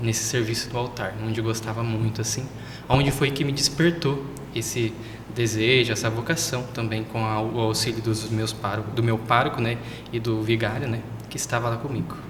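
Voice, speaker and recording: A man talks at a moderate pace and medium pitch, his intonation fairly even. Audible room echo and noticeable background noise fill the recording. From southern Brazil (Paraná). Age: 20s. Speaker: seminarian. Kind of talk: interview.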